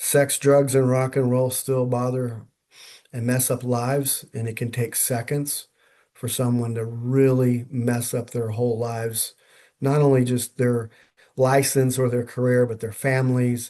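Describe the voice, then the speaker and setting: Against a quiet background, a man speaks at a fairly slow pace. His voice has a dark, mellow tone and monotone, flat intonation. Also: medium pitch for a man. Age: 60s. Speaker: chiropractor. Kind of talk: interview. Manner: halting.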